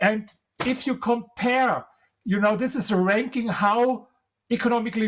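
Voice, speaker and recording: Speech with a German accent. The pace is moderate. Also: man. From Germany. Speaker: author and historian. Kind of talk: interview. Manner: animated.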